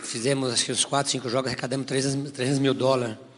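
A man is talking. Noticeable background noise is present. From interior of São Paulo state, Brazil. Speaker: former professional footballer. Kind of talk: testimony. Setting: church.

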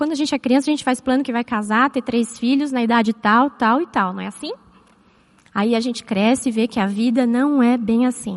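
A woman talks at a fairly quick pace. Her high voice keeps a fairly even intonation. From Brazil, São Paulo. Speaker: psychologist and church speaker. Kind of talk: church talk with personal testimony.

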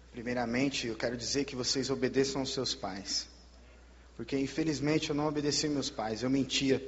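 Medium-pitched male speech with vocal fry, fairly even intonation and a moderate pace. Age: 20s. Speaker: missionary, former drug user. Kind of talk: testimony. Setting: church service.

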